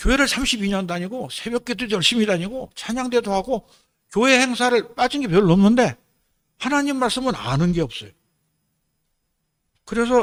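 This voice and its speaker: The voice swings very widely in pitch while keeping a moderate speed. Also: man. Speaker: lay preacher, retired surgeon. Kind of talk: sermon. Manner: halting, with filler sounds.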